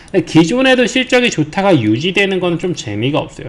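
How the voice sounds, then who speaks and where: Noticeable background noise fills the recording. A man speaks fairly quickly. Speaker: stock market commentator. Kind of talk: market commentary broadcast.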